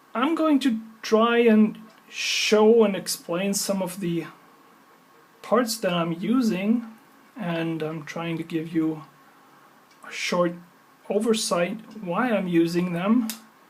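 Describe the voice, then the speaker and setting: At a very slow pace and with long, frequent pauses, the speaker talks in a German accent over noticeable background noise. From German from Swabia, grew up in upstate New York. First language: German (Swabian). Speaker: maker / electronics hobbyist. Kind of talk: tutorial. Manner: hesitant, many fillers.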